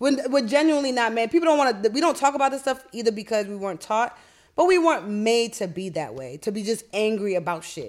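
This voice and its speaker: Talking at a very fast pace, a woman with an American accent makes very wide pitch swings. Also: fairly high pitch for a woman. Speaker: podcast host. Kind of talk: casual interview chat.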